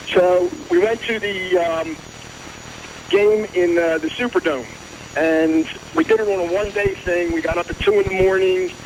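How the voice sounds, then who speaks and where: Amid noticeable background noise, a man with an American accent talks at a moderate pace with long, frequent pauses. His high voice holds a fairly even intonation. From Philadelphia area, New Jersey. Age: 60s. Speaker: caller. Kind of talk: phone-in call.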